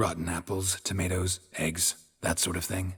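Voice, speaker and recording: A man puts on a character voice with a very deep, low pitch. He keeps a monotone, flat intonation at a moderate pace. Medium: video game. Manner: terse, clipped, dry.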